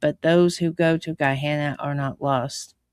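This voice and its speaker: This is a booming, put-on character voice with a low-to-middle pitch. It moves at a moderate pace. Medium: read story. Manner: roaring but kindly.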